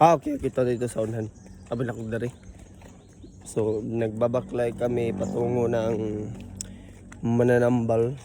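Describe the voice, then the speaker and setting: Pausing long and often, a man talks in a medium pitch with a monotone, flat intonation. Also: moderate pace. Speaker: vlogger, parent. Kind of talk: casual vlog chat. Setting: outdoors, walking.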